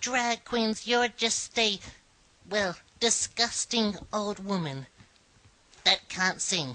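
A put-on character voice at a very slow pace, broken by long, frequent pauses. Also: female-sounding voice, medium pitch for a woman. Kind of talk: comedy show host talk to camera. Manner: camp, theatrical.

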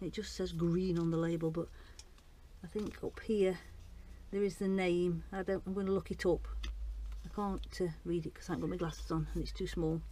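A woman talks at a moderate pace. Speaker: home gardener vlogger. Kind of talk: casual vlog chat. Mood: chatty, lightly amused. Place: garden. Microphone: phone near.

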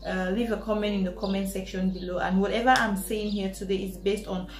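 A woman is heard with audible room echo and faint music in the background. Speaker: student vlogger. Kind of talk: casual vlog chat. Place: home room. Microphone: camera far.

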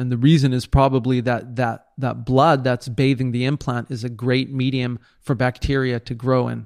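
A man at medium pitch and moderate pace, in a monotone, flat intonation, on a very clean recording with a silent background. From Israel. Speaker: plastic surgeon. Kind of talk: interview. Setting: home by the sea, in person.

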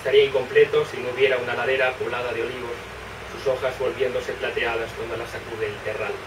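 A man speaking at a very fast pace against noticeable background noise. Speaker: poet. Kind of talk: poetry reading. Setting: live reading in bookshop. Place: shop. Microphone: camera far.

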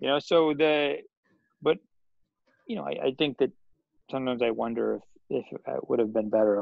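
A man with an American accent at a fairly quick pace, dry sound with no echo, and a quiet background. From Washington D.C. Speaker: professor of Islamic studies; guest. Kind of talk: casual interview chat. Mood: reflective, casual. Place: home room. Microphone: video call.

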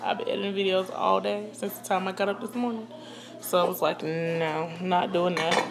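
With noticeable background noise, a woman speaks using ordinary pitch variation. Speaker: home cook vlogger. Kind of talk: casual vlog chat. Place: kitchen. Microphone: phone near.

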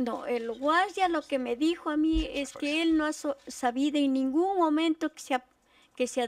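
At a moderate pace, the speech shows ordinary pitch variation and big swings in loudness, with a dry sound and no echo. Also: woman. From Ecuador, southern Amazon region (Morona Santiago) / Cuenca; Ecuador. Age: 60s. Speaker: witness, mother of disappeared man, street vendor; witness, street vendor. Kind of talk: testimony. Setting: public hearing with microphone. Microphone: podium.

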